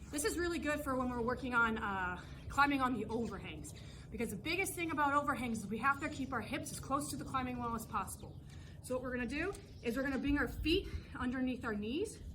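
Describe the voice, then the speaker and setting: Her bright, sharp tone and high pitch carry through audible room echo as a woman talks at a very fast pace. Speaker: fitness coach. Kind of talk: workout instruction. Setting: outdoors. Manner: casual.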